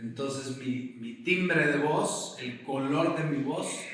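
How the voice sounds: A man at a slow pace, fairly bright tone and ordinary pitch variation amid strong room echo. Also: medium pitch for a man.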